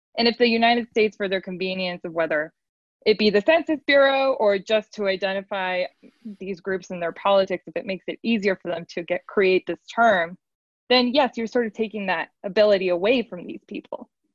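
A woman with an unremarkable speaking voice talks at a medium pitch with ordinary variation. She goes at a fairly quick pace, with big swings in loudness. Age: young. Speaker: podcast producer. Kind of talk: panel discussion.

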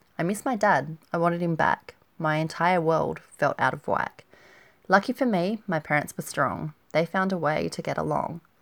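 On a very clean recording with a silent background, a woman with vocal fry speaks at fairly low pitch and a moderate pace with ordinary pitch variation, the sound dry and close with no echo. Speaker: blogcast host and poet. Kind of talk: heartfelt poem reading, rhymed and sincere, after a warm personal intro. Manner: measured, tender, rhythmic delivery with pauses at line ends; slightly shy and self-conscious after the reading.

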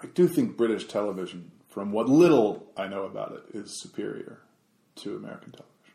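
A man at a fairly quick pace with big swings in loudness. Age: 30s. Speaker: podcast co-host. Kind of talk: casual chat.

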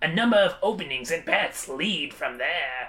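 Putting on a character voice, a man speaks at a moderate pace in a high register.

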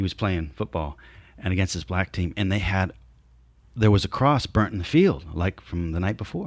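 A moderate pace and ordinary pitch variation in an American accent, on a very clean recording with a silent background. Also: man, very deep, low pitch for a man. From New Jersey and Southern California. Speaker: actor. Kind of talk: casual interview.

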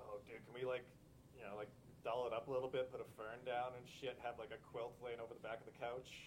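Somewhat breathy and flat in intonation, the speaker talks at a fairly quick pace with a Canadian accent. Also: man, medium pitch for a man. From Alberta, Canada (Lethbridge). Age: 30s. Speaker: punk band bassist. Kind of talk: casual chat.

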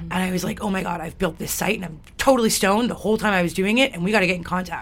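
Very fast speech from a woman, medium in pitch and with ordinary pitch variation. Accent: Western Canadian. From Alberta, Canada. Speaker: radio station volunteer coordinator. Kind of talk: interview. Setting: studio.

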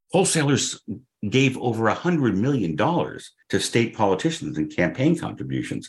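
A man speaks at a moderate pace with vocal fry. His pitch swings very widely. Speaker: wine writer and advocate. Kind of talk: interview answers.

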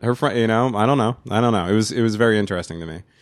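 Animated in tone, a man speaks at a medium pitch with lively intonation on a very clean recording with a silent background. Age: 30s. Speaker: podcast host. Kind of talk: casual chat. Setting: studio.

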